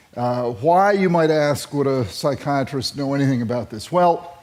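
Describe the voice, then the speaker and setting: Over noticeable background noise, a man with fairly high pitch speaks with lively intonation. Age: 60s. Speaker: psychiatrist and speaker. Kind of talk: talk to an audience. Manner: halting, many repeated words and fillers.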